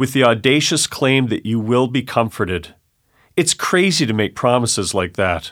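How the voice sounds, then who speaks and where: In a plain, everyday voice, a man with a Canadian accent speaks at a medium pitch and a moderate pace with ordinary pitch variation, on a very clean recording with a silent background. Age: 40s. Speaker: high school Bible teacher. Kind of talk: condensed sermon reading in studio. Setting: studio.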